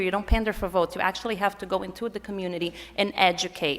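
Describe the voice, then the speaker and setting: Speaking at a very fast pace, a woman with a Portuguese accent keeps to a medium pitch. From Brazil. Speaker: political activist. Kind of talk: conference panel talk.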